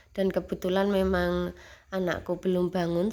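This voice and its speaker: A woman speaks over noticeable background noise. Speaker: homemaker vlogger. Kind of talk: casual vlog narration. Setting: at home. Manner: halting, many fillers.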